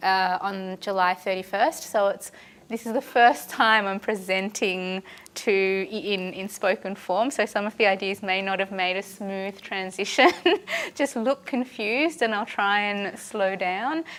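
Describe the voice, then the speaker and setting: A woman with an Australian accent talks at a fairly slow pace. Her pitch is medium, with ordinary variation. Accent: thick Australian. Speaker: historian. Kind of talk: lecture.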